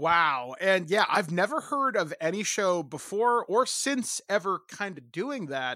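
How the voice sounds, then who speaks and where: Against a silent background in a very clean recording, a man with a high pitch projects a raised voice in a bright, sharp tone, swinging his pitch very widely and hardly pausing. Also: fairly slow pace. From Ontario, Canada. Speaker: podcast host. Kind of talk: interview conversation.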